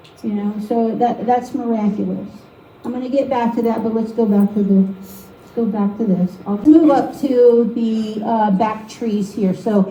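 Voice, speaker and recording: With audible room echo and noticeable background noise, a woman with a fairly high voice speaks at a fairly slow pace. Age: 50s. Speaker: painting demonstrator. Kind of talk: live painting demonstration with personal testimony. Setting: art league meeting with live audience. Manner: casual, conversational.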